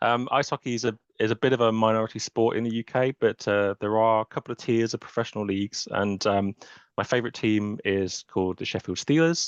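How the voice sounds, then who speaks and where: With a British accent, a man of medium pitch speaks in fairly even intonation, the sound dry and close with no echo against a quiet background. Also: fairly quick pace. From England. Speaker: software architect. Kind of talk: webinar interview. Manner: hesitant, many fillers.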